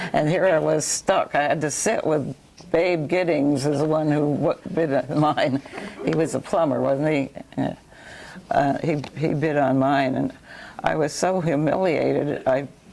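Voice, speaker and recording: With an American accent, a woman speaks slowly at a very deep, low pitch with fairly even intonation over noticeable background noise, at a fairly slow pace. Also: very even loudness. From New York. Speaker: local resident sharing memories. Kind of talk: oral history chat. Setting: library talk with audience.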